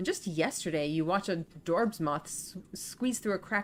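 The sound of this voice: Unforced reading voice, nothing more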